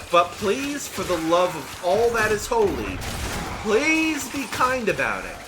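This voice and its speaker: Very wide pitch swings from a man, plus audible room echo and noticeable background noise. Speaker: gaming YouTuber and voice actor. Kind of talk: gameplay commentary. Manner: repeats and stumbles on words; casual, conversational.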